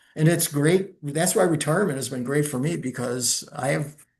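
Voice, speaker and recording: The speaker has an American accent, a somewhat breathy sound and ordinary pitch variation. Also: man. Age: 70s. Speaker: retired lawyer investigator and playwright. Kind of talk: casual interview chat.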